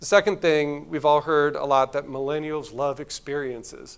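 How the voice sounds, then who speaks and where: Recorded very cleanly against a silent background, a man speaks in a normal speaking voice at a fairly high pitch and a moderate pace. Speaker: agency executive giving a conference talk. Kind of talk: conference talk.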